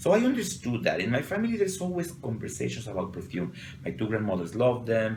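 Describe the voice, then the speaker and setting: A man with a Mexican accent at a very fast pace, amid audible room echo and noticeable background noise. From Mexico City. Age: 40s. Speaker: perfumer. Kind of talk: interview. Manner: halting.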